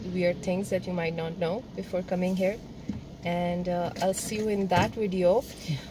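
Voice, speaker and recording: This woman keeps her intonation fairly even at a moderate pace, with noticeable background noise behind her. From Pakistan. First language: Urdu. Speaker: vlogger. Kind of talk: casual chat. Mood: relaxed and cheerful. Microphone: phone near.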